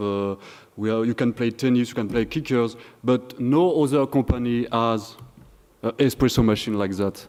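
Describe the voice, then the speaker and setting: A man with a French accent, medium pitch and a moderate pace. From France. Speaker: conference speaker, software developer. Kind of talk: conference talk. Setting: stage with audience. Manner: halting.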